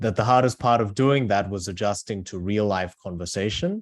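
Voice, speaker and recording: This man has a fairly low pitch and speaks with an Australian accent. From Australia (moved from South Korea at eight). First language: Korean. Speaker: author. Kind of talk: book talk. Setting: video call.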